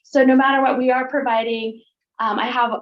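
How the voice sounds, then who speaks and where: The speaker is a woman. She keeps a fairly even intonation. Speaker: school board clerk contractor. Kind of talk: presentation at a public board meeting. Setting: school board meeting room. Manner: fast; halting, many fillers.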